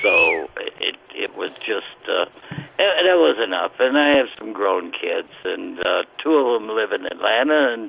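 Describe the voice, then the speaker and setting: Noticeable background noise sits under the recording. The man's delivery is fairly slow. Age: 80s+. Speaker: caller, war veteran. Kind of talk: casual phone chat. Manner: halting, repeats words.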